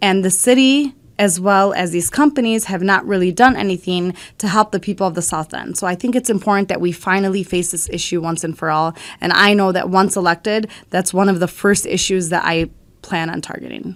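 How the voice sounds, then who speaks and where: On a very clean recording with a silent background, a woman talks at a fairly quick pace and medium pitch with ordinary pitch variation. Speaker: city council candidate. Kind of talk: campaign statement. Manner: loud; animated.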